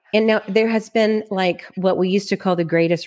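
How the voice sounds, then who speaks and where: On a very clean recording with a silent background, a woman speaks at a moderate pace in a Texan accent. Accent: Texan American English. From Texas (Plano, Dallas area). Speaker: loan officer. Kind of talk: podcast interview. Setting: studio.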